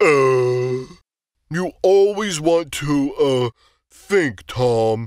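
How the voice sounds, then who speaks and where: A man puts on a character voice with a fairly high pitch and speaks very slowly. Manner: slow, drowsy, hesitant.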